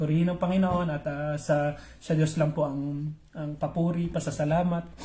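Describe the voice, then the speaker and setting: A man's somewhat breathy, dark, mellow voice, fairly high-pitched, at a moderate pace. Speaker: pastor. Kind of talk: live-streamed morning devotion. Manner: halting, with many fillers.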